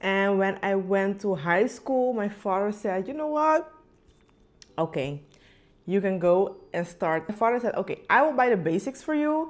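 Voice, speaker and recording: At a moderate pace, a woman's medium-pitched voice swings very widely in pitch. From Curacao. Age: 20s. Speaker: nail technician and vlogger. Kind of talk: casual vlog talk to camera.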